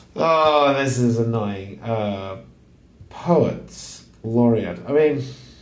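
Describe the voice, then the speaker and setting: A man talks at a very slow pace with ordinary pitch variation. Audible room echo surrounds his voice. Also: medium pitch for a man. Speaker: crossword solver. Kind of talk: casual think-aloud puzzle solving. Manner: halting, thinking aloud.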